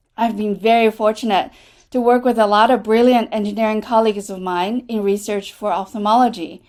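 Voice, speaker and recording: A woman with a Chinese accent speaks at a fairly quick pace in a fairly high pitch, her intonation fairly even. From China. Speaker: associate dean, clinician scientist. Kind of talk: prepared remarks at online town hall. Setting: video call.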